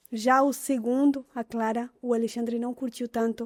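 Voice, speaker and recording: Speaking in an Argentine accent, a woman uses a high pitch with a dark, mellow tone and monotone, flat intonation, the sound dry and close with no echo. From Argentina. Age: 30s. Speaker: mother and content creator. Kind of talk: interview. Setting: studio.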